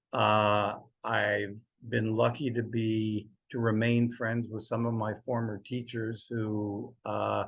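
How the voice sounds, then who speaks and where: A man at a very slow pace, in a monotone with flat intonation. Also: medium pitch for a man. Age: 70s. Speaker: poet. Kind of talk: interview conversation. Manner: halting.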